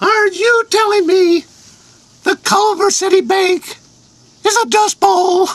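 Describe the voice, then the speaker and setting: A put-on character voice, squeaky and extremely high in pitch, moves at a fairly slow pace with long, frequent pauses. Its intonation stays fairly even and its loudness very even. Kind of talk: comic overacting. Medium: comedy sketch. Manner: folksy, bossy.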